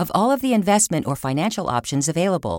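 The speech moves at a very fast pace on a very clean recording with a silent background. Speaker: announcer. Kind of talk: scripted narration. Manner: formal.

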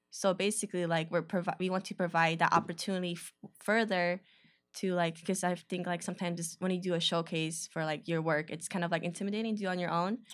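A woman with a fairly low pitch talks at a very fast pace in a monotone, flat intonation. The recording is very clean, with a silent background. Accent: American. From Chicago, north side. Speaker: photographer, creative collective member. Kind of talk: casual interview. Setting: studio.

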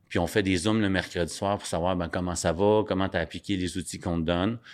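A man with a Quebec accent talks at a fairly quick pace and a fairly low pitch. The recording is very clean, with a silent background. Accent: Québécois French. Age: 40s. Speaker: addiction recovery speaker and rapper. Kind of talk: interview. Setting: studio.

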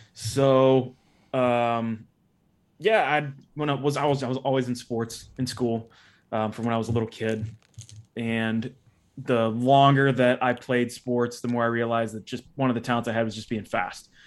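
Speaking at a moderate pace, a man with a Midwestern American accent holds a medium pitch in a monotone, flat intonation. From US Midwest, northeastern Ohio. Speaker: former CrossFit athlete. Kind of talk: casual interview.

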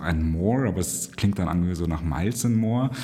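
A man's very deep, low voice, dark and mellow in tone, at a moderate pace. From Egypt (Cairo), German school. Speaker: event agency managing director. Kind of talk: interview.

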